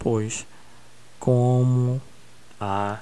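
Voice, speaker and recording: A man's dark, mellow tone carries fairly even intonation through audible room echo. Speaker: school geography teacher. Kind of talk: recorded online lesson. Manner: slow.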